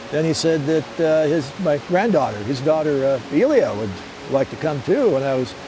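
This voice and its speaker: With noticeable background noise behind him, a man speaks at a moderate pace, fairly high in pitch, with lively intonation. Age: 60s. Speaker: aviation archaeologist. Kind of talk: casual interview. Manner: halting, repeats words.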